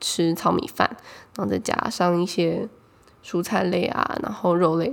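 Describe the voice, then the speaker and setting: A woman speaks in a Taiwanese accent. Her pace is fairly quick. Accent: Taiwanese Mandarin. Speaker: podcast host. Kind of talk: casual solo chat.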